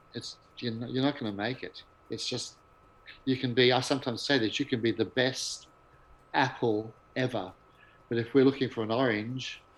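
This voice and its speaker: A man of medium pitch speaks at a moderate pace with fairly even intonation and long, frequent pauses. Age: 60s. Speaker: music director. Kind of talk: interview.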